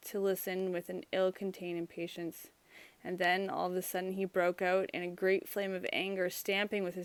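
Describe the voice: This is plain reading aloud. The words are simply read off as written.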